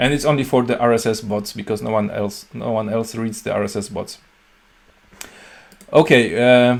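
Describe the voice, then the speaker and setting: A man with a Polish accent speaks at medium pitch and a moderate pace. His intonation is fairly even, and he leaves long, frequent pauses. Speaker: software company CEO and programmer. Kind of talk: video tutorial talk. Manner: halting, many fillers and restarts.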